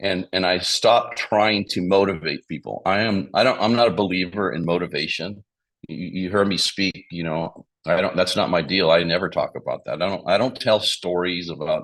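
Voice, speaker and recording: A man speaks at a moderate pace with a very deep, low pitch. His pitch variation is ordinary, and the background is quiet. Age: 60s. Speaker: financial services business leader. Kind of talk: interview talk sharing business experience. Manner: halting, with many repetitions and fillers.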